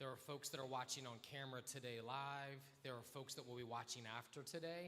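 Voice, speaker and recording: This man talks loudly at a fairly quick clip, in a bright, sharp tone. His pitch is medium and his intonation fairly even. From Delaware. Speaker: state senator; nonprofit worker. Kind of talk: interview on stage. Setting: stage with audience at live event.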